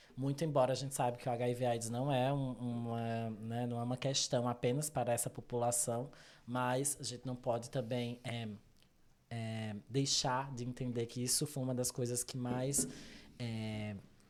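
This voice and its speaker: A man with a Brazilian accent speaks at a moderate pace and a medium pitch. His intonation is monotone and flat. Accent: non-São Paulo regional accent, noticeable. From Brazil, interior of Pernambuco. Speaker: psychologist. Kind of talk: interview conversation. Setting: video podcast recording.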